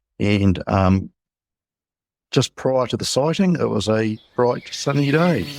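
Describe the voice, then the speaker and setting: A man with a New Zealand accent speaks at a very slow pace in a medium pitch, his voice swinging very widely in pitch, with long, frequent pauses, on a very clean recording with a silent background. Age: 60s. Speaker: UFO witness. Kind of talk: interview.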